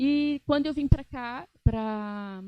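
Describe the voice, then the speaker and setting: A woman speaks in a dark, mellow tone. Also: dry, close sound with no echo. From Brazil, interior of São Paulo state. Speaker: aesthetic nurse and lecturer. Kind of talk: lecture. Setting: stage with audience.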